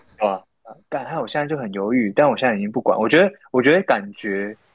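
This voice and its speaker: An unremarkable speaking voice with lively intonation at a fairly quick pace. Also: man. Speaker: podcast co-host. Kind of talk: casual chat. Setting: remote call-in from Japan. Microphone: poor remote recording quality.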